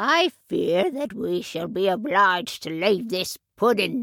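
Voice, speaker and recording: A woman puts on a growling character voice at a medium pitch. She speaks at a fairly slow pace. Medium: audio drama. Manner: bossy, brisk.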